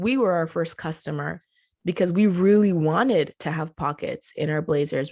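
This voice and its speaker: With a Spanish accent, a woman speaks at a moderate pace and fairly low pitch, her pitch varying in an ordinary way against a quiet background. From Colombia. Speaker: clothing company co-founder. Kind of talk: podcast interview.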